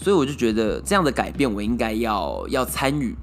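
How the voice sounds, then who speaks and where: A man at a moderate pace with very wide pitch swings, music in the background. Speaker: solo podcast host. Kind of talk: casual monologue. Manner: many filler words.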